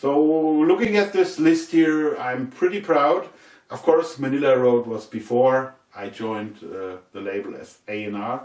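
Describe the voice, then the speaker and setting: A man at a medium pitch and fairly slow pace, with very wide pitch swings and big swings in loudness. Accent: German. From Germany. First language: German. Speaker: record label A&R and musician, video host. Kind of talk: casual unboxing video talk. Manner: halting with many fillers.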